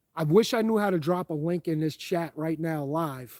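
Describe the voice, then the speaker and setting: A man with a strong New York accent speaks in a fairly high voice with a dark, mellow tone. The sound is dry and close with no echo, on a very clean recording with a silent background. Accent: thick New York. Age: 40s. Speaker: firearms YouTuber. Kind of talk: live stream chat. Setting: outdoors in the woods, live stream. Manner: animated.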